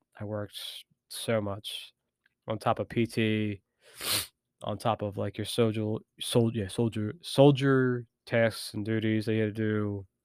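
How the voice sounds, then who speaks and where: A man's fairly low voice, monotone and flat, at a fairly slow pace with long, frequent pauses, in a very clean, dry, close recording with a silent background and no echo. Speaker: army veteran podcaster. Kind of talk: personal storytelling monologue. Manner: halting with many fillers.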